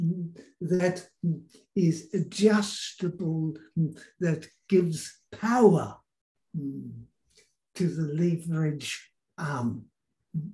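At a very slow pace and with long, frequent pauses, a man talks in a high pitch with ordinary pitch variation against a quiet background. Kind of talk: channelled discourse, slow and halting. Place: home room. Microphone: video call.

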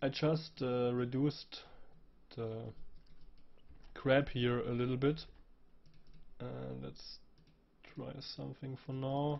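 A man's medium-pitched, monotone, flat voice at a very slow pace, with long, frequent pauses. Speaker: 3D graphics tutorial creator. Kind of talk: software tutorial. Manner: casual with hesitations.

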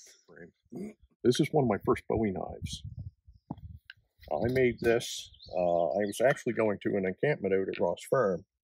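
With a Maritime Canadian accent, a man speaks at a fairly slow pace in a dry sound with no echo. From Nova Scotia. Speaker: knife smith. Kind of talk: casual interview. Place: forest. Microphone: lapel.

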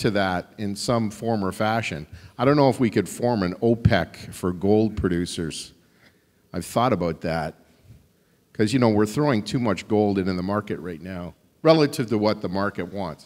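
Lively intonation from a man with a fairly low pitch at a moderate pace. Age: 60s. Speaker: mining company CEO; panelist. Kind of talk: panel discussion. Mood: humorous, conversational. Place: hall. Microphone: handheld.

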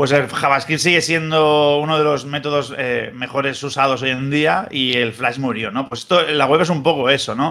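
With a bright, sharp tone, a man talks at a moderate pace with hardly any pauses. His intonation is fairly even, and the background is quiet. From Spain. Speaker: wrestling news site editor and former TV commentator; wrestling news site editor, former TV commentator. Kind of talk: casual chat. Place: home room. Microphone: webcam.

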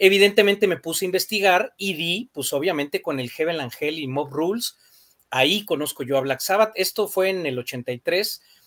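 Over a quiet background, someone speaks with a Mexican accent at a moderate pace with lively intonation. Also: man. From Mexico. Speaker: rock music panelist; panelist. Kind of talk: casual chat. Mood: enthusiastic, nostalgic. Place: home room.

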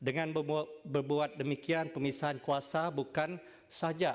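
A plain, everyday voice. The pace is fairly slow. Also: man. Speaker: senator. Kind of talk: parliamentary debate speech. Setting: legislative chamber. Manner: formal.

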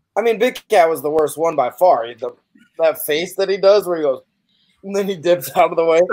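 This man speaks at a fairly quick pace with a high pitch. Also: ordinary pitch variation. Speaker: podcast guest. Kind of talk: casual chat. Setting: video call. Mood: joking, laughing among friends. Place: home room.

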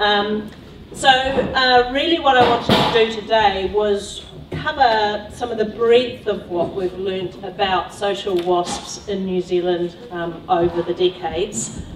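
There is noticeable background noise behind this woman. She talks at a fairly slow pace with ordinary pitch variation. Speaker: speaker. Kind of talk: lecture. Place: hall.

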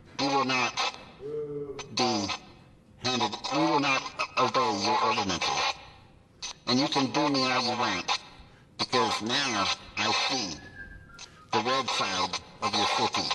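A man's put-on character voice at medium pitch, fairly slow in pace, with long, frequent pauses. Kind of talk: public comment at city council meeting. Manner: angry, repetitive.

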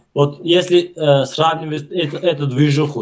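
A man speaks at a fairly slow pace while light background noise can be heard. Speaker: video chat stranger; interview guest. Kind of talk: casual chat. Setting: video call. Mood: relaxed, thoughtful. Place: home room. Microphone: video call.

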